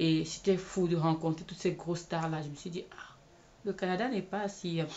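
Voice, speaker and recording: At a moderate pace, a woman with a non-native accent talks in a fairly low voice with fairly even intonation. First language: not English (speaking French). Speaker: video blogger and film set worker. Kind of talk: personal testimony vlog. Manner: hesitant, with many fillers.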